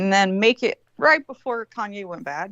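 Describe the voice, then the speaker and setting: A woman with a Southern accent speaks in an animated tone, the sound dry and close with no echo. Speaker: co-host. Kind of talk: casual chat.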